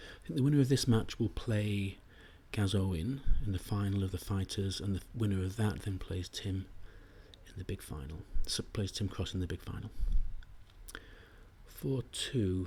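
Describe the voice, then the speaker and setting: A man's quiet, somewhat breathy voice, dark and mellow in tone, fairly low in pitch with ordinary variation, at a moderate pace with long, frequent pauses. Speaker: backgammon commentator. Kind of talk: live commentary. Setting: live stream at a tournament venue.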